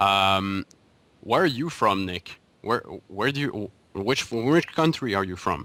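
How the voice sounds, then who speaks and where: Pausing long and often, a man with a fairly low pitch talks at a fairly slow pace, his intonation lively and his tone bright and sharp. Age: 30s. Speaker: podcast host. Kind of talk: interview.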